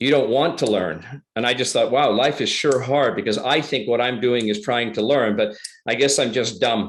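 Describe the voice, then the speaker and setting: A plain, everyday voice: a man at medium pitch with ordinary pitch variation, moderate pace and hardly any pauses, over a quiet background. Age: 60s. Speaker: public speaker. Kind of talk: interview answer.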